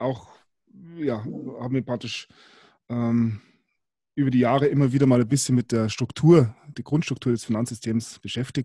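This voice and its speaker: With a dark, mellow tone and medium pitch, a man talks at a moderate pace in a somewhat breathy voice, his intonation fairly even and his long pauses frequent, recorded with a dry, close sound and no echo. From Bavaria. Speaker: podcast host. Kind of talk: casual chat.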